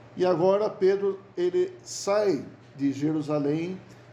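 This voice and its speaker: A man speaks in a high register with a dark, mellow tone and ordinary pitch variation, and the room echo is audible. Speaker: bible study teacher. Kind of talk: bible study lecture. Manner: halting, repeats words.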